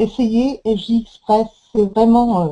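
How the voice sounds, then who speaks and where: A woman talks at a very slow pace, somewhat breathy, with ordinary pitch variation. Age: 60s. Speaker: product testimonial giver. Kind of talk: testimony. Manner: halting, many hesitations.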